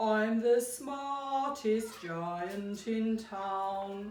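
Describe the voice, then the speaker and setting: With a slight echo, a woman uses a put-on character voice pitched fairly high. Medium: read story. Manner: cheerful.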